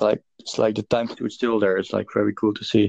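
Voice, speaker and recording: A man speaks with monotone, flat intonation. The recording is dry and close with no echo. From Netherlands. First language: Dutch. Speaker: podcast host. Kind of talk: casual chat. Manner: halting.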